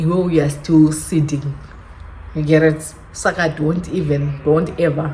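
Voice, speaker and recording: A woman speaks at a fairly low pitch. Room echo can be heard. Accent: Zimbabwean. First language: Shona. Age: 20s. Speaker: YouTuber. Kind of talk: casual vlog chat. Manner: halting.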